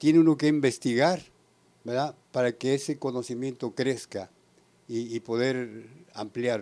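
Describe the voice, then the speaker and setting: This man has a dark, mellow tone at medium pitch with ordinary pitch variation. He talks fairly slowly on a very clean recording with a silent background. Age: 70s. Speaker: church member. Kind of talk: panel discussion. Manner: halting.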